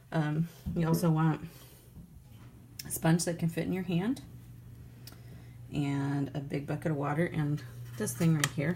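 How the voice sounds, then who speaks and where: A woman speaks fairly slowly with a very deep, low pitch, vocal fry, and a dark, mellow tone. Her intonation stays fairly even, with long, frequent pauses. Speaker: professional potter. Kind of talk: pottery tutorial talk to camera. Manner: rambling, quiet, low-talking.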